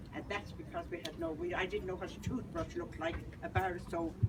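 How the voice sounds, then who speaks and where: A woman with an Irish accent talks at a fairly quick pace in a fairly low voice with fairly even intonation, over noticeable background noise. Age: 80s+. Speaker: institution survivor. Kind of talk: testimony. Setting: outdoor rally.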